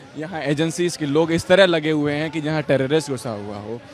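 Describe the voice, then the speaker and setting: A man speaks at a moderate pace in a fairly high pitch, with crowd noise in the background. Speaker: student protester. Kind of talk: street interview.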